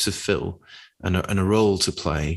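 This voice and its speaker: A man with a British accent is heard over a quiet background. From Britain. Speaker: podcast co-host. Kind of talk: casual chat.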